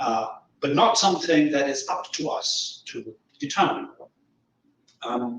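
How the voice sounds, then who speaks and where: A man with a German accent, fairly slow in pace, with long, frequent pauses. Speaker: philosophy professor. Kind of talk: lecture.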